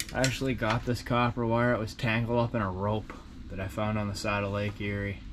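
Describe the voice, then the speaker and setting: A man's fairly low pitch at a moderate pace, with fairly even intonation and noticeable background noise. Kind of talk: tutorial. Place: workshop. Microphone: phone near.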